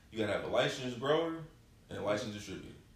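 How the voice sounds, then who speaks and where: This man's voice is somewhat breathy, with ordinary pitch variation. He talks at a very fast pace. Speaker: podcast guest and rapper. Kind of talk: casual chat.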